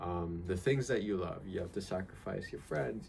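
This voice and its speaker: A man talks at a fairly quick pace in a relaxed tone. His very deep, low pitch carries vocal fry. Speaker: vlogger. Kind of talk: casual vlog monologue. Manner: halting, many fillers; casual and relaxed.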